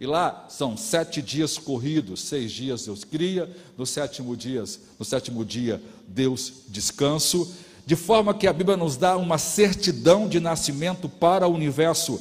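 A man with an unremarkable speaking voice, a fairly high pitch, lively intonation and a fairly slow pace. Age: 50s. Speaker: pastor. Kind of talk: sermon.

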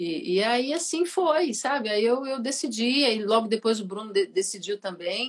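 A woman has an ordinary speaking voice and lively intonation. She keeps to a moderate pace. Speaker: singer. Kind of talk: casual chat.

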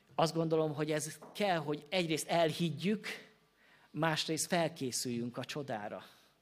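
The pitch of this man's voice is fairly high. He talks fairly slowly. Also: very clean recording, silent background. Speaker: Baptist pastor. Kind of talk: sermon. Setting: church.

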